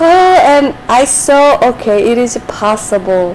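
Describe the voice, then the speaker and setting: A woman talks in a high pitch. Noticeable background noise is present. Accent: Korean. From South Korea. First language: Korean. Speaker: streamer and Korean tutor. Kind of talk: casual live stream chat. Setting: live stream. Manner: halting.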